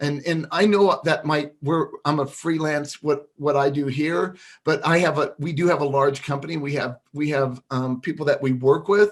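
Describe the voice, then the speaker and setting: Hardly pausing at all, a man talks at a moderate pace with a fairly high pitch and fairly even intonation. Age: 60s. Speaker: digital marketing freelancer. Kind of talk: tutorial. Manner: casual, halting with fillers.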